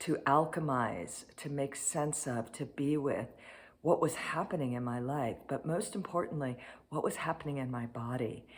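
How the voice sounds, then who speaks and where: The pace is moderate. Pitch variation is ordinary. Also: woman. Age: 60s. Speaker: cancer survivor. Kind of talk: testimony.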